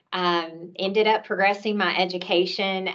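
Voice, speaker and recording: A woman speaks with a Tennessee accent at a medium pitch. Her intonation is fairly even and her pace moderate. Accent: Southern US (Tennessee). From US South, Nashville, Tennessee. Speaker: healthcare executive. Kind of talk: panel discussion introduction. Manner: hesitant with fillers.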